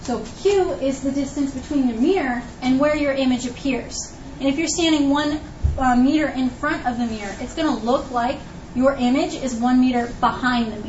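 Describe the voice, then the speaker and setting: There is audible room echo and noticeable background noise as a woman speaks at a high pitch with ordinary pitch variation. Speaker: high school physics teacher. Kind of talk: classroom lecture. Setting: classroom with students.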